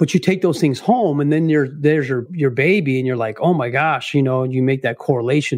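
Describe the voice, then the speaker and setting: With hardly any pauses, a man with an American accent uses a normal speaking voice, fairly high in pitch with ordinary pitch variation, over a quiet background. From Arizona. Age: 40s. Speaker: retired police officer in recovery. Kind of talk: interview testimony.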